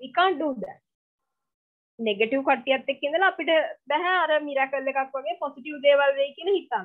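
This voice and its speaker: The speaker is a woman. She has a Sri Lankan accent. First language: Sinhala. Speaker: lecturer. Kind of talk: online lecture. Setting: video call.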